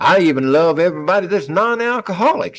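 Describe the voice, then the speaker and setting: A man talks with a Texas accent. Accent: Texas Southern drawl. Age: 70s. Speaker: recovering alcoholic at AA meeting. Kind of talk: testimony. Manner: halting.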